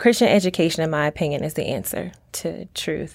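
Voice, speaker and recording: A woman with an American accent uses a plain, everyday voice at a moderate pace. Pitch variation is ordinary, and the recording is very clean with a silent background. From Virginia, Norfolk. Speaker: school instructional assistant and parent. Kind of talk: interview about faith and testimony.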